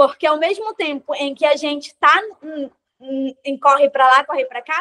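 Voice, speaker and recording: A woman's bright, sharp tone with ordinary pitch variation, in a dry, close sound with no echo. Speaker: quilombola activist, panel participant. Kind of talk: panel discussion. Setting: video call. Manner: fast.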